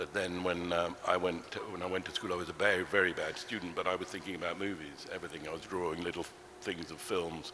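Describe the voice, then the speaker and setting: With noticeable background noise and audible room echo, a man with a very deep, low pitch speaks very fast in monotone, flat intonation. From England, London (Ealing). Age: 70s. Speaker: film producer. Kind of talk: on-stage interview. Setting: stage with audience. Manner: hesitant, many fillers. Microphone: too far from the mic at first.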